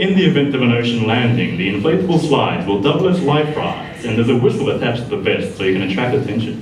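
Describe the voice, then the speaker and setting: Amid audible room echo and noticeable background noise, a man at medium pitch speaks with very wide pitch swings. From Korea. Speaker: stand-up comedian. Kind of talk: stand-up.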